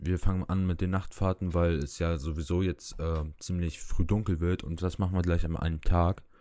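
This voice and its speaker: Over a silent background in a very clean recording, a man with a very deep, low, dark and mellow voice speaks at a moderate pace with fairly even intonation. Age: 19. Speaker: podcast guest, aspiring nurse. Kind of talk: casual chat.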